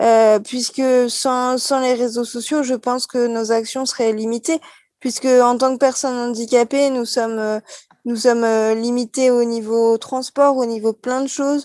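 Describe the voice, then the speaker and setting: A woman's high-pitched, flat, monotone voice at a fairly slow pace, with a dry, close sound and no echo. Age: 30s. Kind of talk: live talk show interview. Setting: café, live broadcast.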